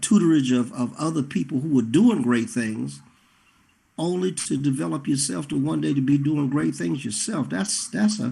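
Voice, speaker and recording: Somewhat breathy, dark and mellow in tone, with very wide pitch swings at a moderate pace. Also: man. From Carolinas. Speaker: talk show host and singer. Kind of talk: interview.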